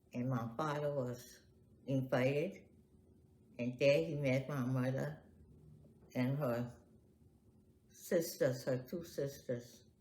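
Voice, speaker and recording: A woman with a very deep, low pitch and a somewhat breathy voice speaks at a very slow pace, leaving long, frequent pauses amid audible room echo. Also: ordinary pitch variation. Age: 80s+. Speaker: family elder interviewee. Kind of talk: oral history interview.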